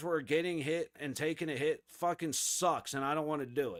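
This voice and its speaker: With an American accent, a man speaks in an animated tone at a high pitch. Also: very clean recording, silent background. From Florida. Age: 30s. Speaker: hockey streamer. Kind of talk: live watch-along commentary. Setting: live stream. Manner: casual, animated.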